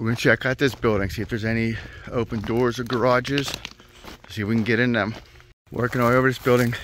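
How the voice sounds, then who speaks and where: A man speaks at a very fast pace in a monotone, flat intonation. The sound is dry with no echo, over light background noise. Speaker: explorer vlogger. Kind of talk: casual vlog chat. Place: open country. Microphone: phone near.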